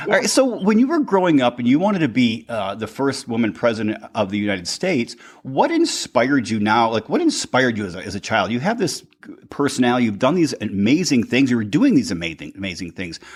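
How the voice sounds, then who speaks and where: A man talks at a very fast pace in an American accent. His pitch swings very widely. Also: medium pitch for a man. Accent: Michigan accent, stronger lately. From Upper Peninsula of Michigan. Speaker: podcast host and life coach. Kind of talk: interview.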